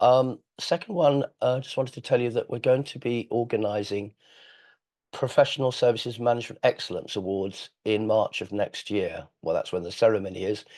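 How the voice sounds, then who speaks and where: The speaker has an English accent and talks at a moderate pace. The background is quiet. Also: man, medium pitch for a man, ordinary pitch variation. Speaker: webinar host, firm founder and chief executive. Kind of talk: webinar introduction. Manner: hesitant, many fillers.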